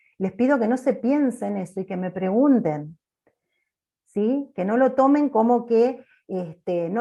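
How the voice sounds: Loud and at a fairly slow pace, a woman with a medium pitch, a dark, mellow tone and vocal fry speaks with lively intonation.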